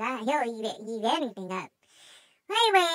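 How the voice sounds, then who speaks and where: A put-on character voice at a moderate pace. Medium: role play. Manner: hesitant, rambling.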